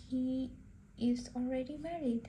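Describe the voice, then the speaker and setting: A woman with a Pakistani accent speaks at a high pitch in a dark, mellow tone. Her delivery is very slow, with monotone, flat intonation. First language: Urdu. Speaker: art tutorial livestreamer. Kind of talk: casual livestream chat while painting.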